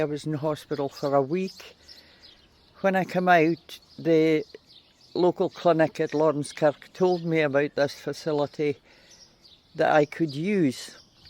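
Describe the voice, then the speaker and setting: A man with a fairly high voice speaks at a fairly slow pace in a flat monotone, with a dry, close sound and no echo. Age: 70s. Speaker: community service user. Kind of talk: testimony.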